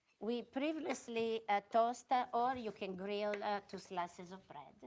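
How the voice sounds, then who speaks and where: The speaker talks at a fairly slow pace in an Italian accent, with ordinary pitch variation. Loudness swings widely. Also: woman, fairly high pitch for a woman. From Italy, Milan. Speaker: restaurant owner and chef. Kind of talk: cooking demonstration. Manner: halting.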